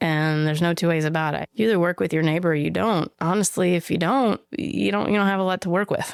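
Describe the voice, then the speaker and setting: A woman's very fast, fairly low-pitched delivery with hardly any pauses, very even loudness and ordinary pitch variation. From rural Western Kentucky. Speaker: social justice activist and artist. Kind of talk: interview conversation. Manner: reflective, conversational.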